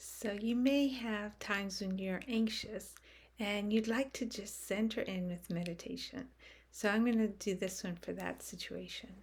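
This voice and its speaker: A woman's calm, somewhat breathy voice at a medium pitch, with ordinary pitch variation and a fairly slow pace. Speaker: meditation guide. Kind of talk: guided meditation. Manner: slow, calm, with long pauses.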